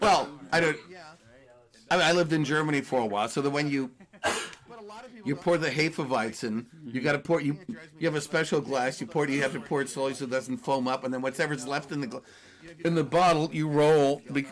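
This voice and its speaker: Long, frequent pauses break up a man's fairly high-pitched speech, which has ordinary pitch variation. Background noise is noticeable. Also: fairly quick pace. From Los Angeles, US, with German-speaking family. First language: German. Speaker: interview guest. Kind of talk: casual interview chat.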